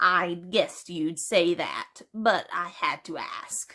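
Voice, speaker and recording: A woman puts on a character voice at medium pitch. She speaks at a very slow pace. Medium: read story. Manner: earnest, polite, wistful.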